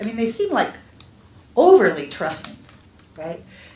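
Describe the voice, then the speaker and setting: A woman at a fairly quick pace, amid noticeable background noise and audible room echo. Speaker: developmental psychology researcher. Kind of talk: lecture.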